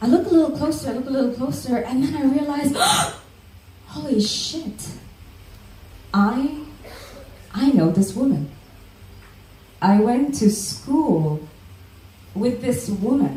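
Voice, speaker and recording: Over noticeable background noise, a woman with a high pitch speaks at a fairly slow pace with long, frequent pauses and very wide pitch swings. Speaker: spoken word poet. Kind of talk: spoken word storytelling performance.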